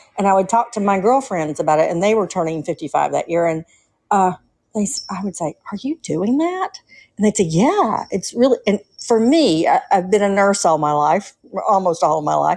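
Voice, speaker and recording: In a strong Southern US accent, a woman with a medium pitch speaks with lively intonation. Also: moderate pace. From US South, Atlanta, Georgia. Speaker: nurse, caller. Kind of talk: casual call-in chat.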